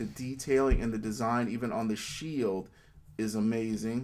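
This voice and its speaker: A man speaks quietly at a moderate pace. His pitch is medium. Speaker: toy collector reviewer. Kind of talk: casual talk to camera. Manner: quiet, low volume.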